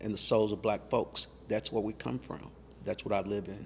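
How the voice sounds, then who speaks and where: With an American accent, a man talks at a fairly quick pace in a medium pitch, his voice showing vocal fry. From US, Louisville Kentucky. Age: 60s. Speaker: museum founder. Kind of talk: interview.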